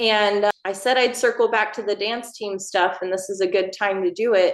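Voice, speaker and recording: Over a quiet background, a woman with a Texan accent speaks at a medium pitch and a moderate pace, her intonation fairly even. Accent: Texan, Southern US. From Texas, Northeast Texas. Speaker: line dance instructor and choreographer. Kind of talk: podcast interview.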